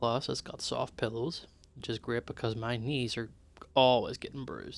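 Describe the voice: This recording is plain reading aloud.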